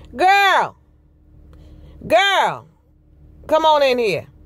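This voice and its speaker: A woman puts on a character voice at an extremely high pitch. Her intonation is lively. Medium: solo performance.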